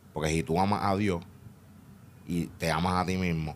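A man with a very deep, low voice and vocal fry speaks at a fairly slow pace with ordinary pitch variation. Light background noise can be heard. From Puerto Rico. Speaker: podcast guest. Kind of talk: casual interview. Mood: reflective, candid. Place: studio. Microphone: studio mic.

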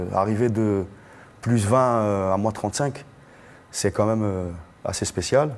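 A man speaks very slowly at a fairly low pitch, with long, frequent pauses and ordinary pitch variation. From Algeria, Algiers; Algeria. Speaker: singer; guest. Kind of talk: panel discussion. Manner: casual. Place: hall. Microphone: lapel.

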